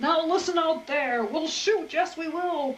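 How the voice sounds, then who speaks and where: A woman at a very slow pace over noticeable background noise. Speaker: grandmother reading aloud. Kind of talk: children's picture-book read-aloud.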